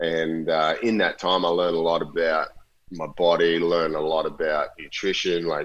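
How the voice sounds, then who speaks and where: A very deep, low-pitched man with an Australian accent, at a moderate pace. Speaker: professional surfer. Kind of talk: casual chat.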